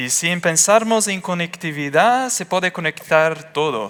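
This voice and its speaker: Bright and sharp in tone, a man with a Portuguese accent talks with lively intonation. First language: Portuguese (speaking Spanish). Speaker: engineer. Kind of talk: conference talk. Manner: halting.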